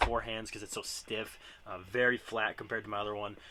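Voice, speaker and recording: A man's bright, sharp voice in a monotone, flat delivery. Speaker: disc golf player and YouTuber. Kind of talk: casual equipment tutorial. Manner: fast.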